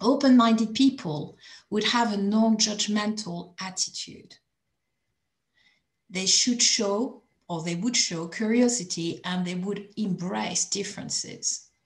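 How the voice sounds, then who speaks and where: Her voice somewhat breathy and medium in pitch, a woman speaks at a fairly slow pace with ordinary pitch variation. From France. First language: French. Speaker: coalition member speaking at group chat. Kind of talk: prepared talk. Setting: video call.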